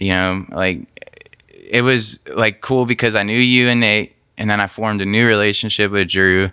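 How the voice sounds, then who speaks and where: This man's fairly low voice has a bright, sharp tone, fairly even intonation and very even loudness, delivered at a moderate pace on a very clean recording with a silent background. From northern Mississippi / Memphis area. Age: 20s. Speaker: musician. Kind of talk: interview. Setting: studio.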